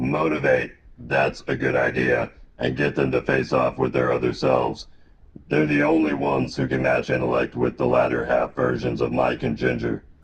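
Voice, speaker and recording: In a put-on character voice, a man speaks raspy and very deep at a moderate pace with flat, monotone intonation. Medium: comedy sketch. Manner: grave, cryptic, portentous.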